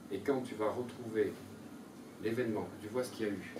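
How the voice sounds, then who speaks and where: Speech moves at a moderate pace. There is noticeable background noise and audible room echo. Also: man. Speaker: seminar leader. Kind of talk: seminar lecture. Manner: animated.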